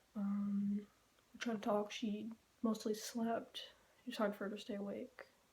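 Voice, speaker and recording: Soft-spoken woman, fairly high-pitched, with monotone, flat intonation, a moderate pace and long, frequent pauses. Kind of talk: casual vlog update. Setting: empty bedroom. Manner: halting. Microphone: room echo.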